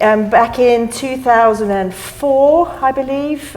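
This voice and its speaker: A woman speaks with a strong non-native accent. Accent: non-American accent, still strong. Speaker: mussel farmer. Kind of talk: panel discussion.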